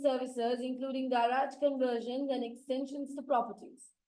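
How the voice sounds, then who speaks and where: A woman talks at a moderate pace with a high pitch and a dark, mellow tone. Her intonation is monotone and flat, and room echo is audible. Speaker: accounting lecturer. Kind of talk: lecture.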